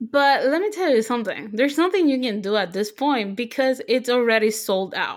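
A woman speaks at a high pitch and moderate pace in an animated tone. Her pitch swings very widely, with hardly any pauses. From Puerto Rico. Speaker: podcast co-host. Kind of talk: casual chat.

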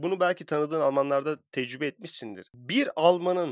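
A plain, everyday voice from a man, fairly high in pitch, at a moderate pace, with a dry, close sound with no echo. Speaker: podcast host. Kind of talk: casual chat.

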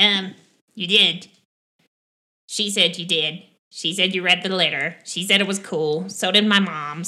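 A female-sounding voice puts on a character voice at a middle pitch. The pace is moderate, broken by long, frequent pauses. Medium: actual play. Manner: rambling, hesitant.

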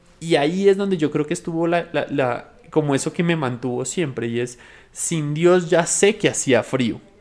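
This man has an unremarkable speaking voice, fairly high in pitch. He speaks at a moderate pace with ordinary pitch variation. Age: 20s. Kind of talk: podcast interview testimony.

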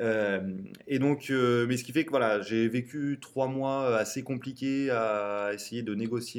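Noticeable background noise sits behind a man of medium pitch who speaks fairly slowly with fairly even intonation. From central France (Tours). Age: 20s. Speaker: startup co-founder and CTO. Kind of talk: interview testimony.

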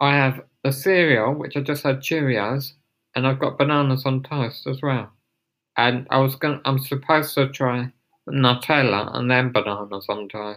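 Speaking with an English accent, a man uses a medium pitch, a moderate pace and fairly even intonation. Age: 30s. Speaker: podcaster. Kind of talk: casual monologue. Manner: halting.

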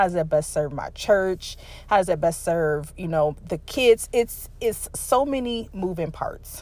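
A woman speaks with an ordinary speaking voice at medium pitch. Her intonation is lively and her pace fairly slow. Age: 30s. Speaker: podcast host. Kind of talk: personal monologue. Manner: casual with many fillers.

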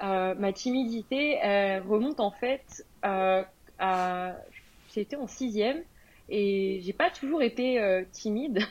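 In a very clean recording against a silent background, a woman talks very slowly. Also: medium pitch for a woman, ordinary pitch variation. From France. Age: 20s. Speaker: entrepreneur. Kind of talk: interview.

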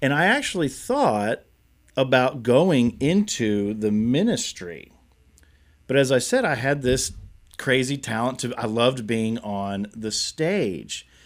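In a very clean recording with a silent background, a man speaks at medium pitch. He goes very slowly, with lively intonation. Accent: American. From Kentucky, Nicholasville and Lexington. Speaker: pastor. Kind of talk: interview testimony.

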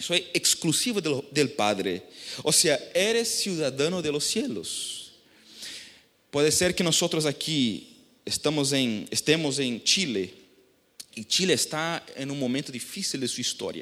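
A man with a Brazilian accent, fairly high in pitch, with vocal fry and very wide pitch swings. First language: Portuguese (speaking Spanish). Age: 30s. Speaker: pastor. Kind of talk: sermon. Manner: halting.

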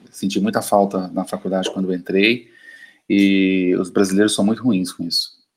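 A man's fairly low pitch, with monotone, flat intonation at a moderate pace. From Brazil, Uberlândia (Minas Gerais). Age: 50s. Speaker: physician. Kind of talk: panel discussion.

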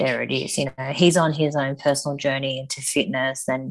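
A woman with an Australian accent speaks at a moderate pace in a very deep, low pitch, with ordinary pitch variation. The recording is very clean, with a silent background. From Sydney, Australia. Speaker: powerlifter and personal trainer. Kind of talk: casual chat.

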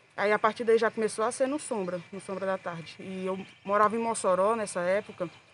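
At a moderate pace, a woman with an ordinary speaking voice talks at a medium pitch with fairly even intonation. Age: 20s. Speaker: pedagogy student and rock scene fan. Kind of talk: podcast interview.

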